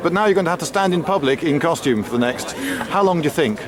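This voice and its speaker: Noticeable background noise surrounds a man speaking with lively intonation. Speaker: video presenter. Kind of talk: casual vlog with street interviews.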